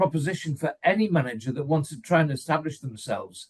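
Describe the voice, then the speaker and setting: A man with an English accent, a fairly high pitch and ordinary pitch variation. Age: 70s. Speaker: football fan pundit. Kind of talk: casual chat. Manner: animated.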